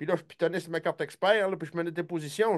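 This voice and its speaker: A man with a Quebec accent talks very fast in a high-pitched voice. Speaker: hunting show host. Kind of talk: casual chat. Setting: live stream. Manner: animated.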